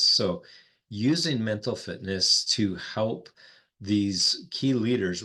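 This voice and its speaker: Against a quiet background, a man with a North Dakota accent talks in a fairly low pitch with ordinary pitch variation. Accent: North Dakotan. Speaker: executive coach, former pastor. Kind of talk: podcast interview.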